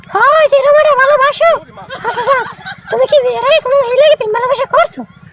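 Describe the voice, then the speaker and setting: A woman puts on a character voice at an extremely high pitch, with ordinary pitch variation. She talks at a fairly quick pace, and the sound is dry and close with no echo. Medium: comedy sketch. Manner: blunt, scolding.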